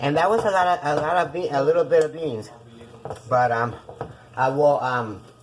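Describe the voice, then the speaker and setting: A woman with a Puerto Rican accent speaks at a moderate pace in a very deep, low voice with lively intonation. Long, frequent pauses break up her speech, and there is noticeable background noise. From Puerto Rico. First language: Spanish. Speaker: cooking show host. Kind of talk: cooking tutorial. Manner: casual, chatty.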